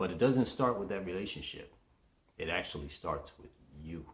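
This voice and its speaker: Intonation is lively as a man talks. There is a somewhat breathy quality to his voice. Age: 60s. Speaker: motivational show host. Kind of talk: motivational monologue.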